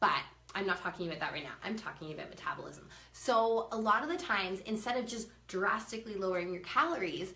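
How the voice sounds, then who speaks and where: A woman of medium pitch talks very fast with lively intonation and big swings in loudness, amid noticeable background noise and audible room echo. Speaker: nutrition coach. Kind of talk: live stream talk. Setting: live video stream.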